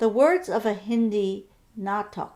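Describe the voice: This is plain reading aloud. The pitch shows ordinary variation.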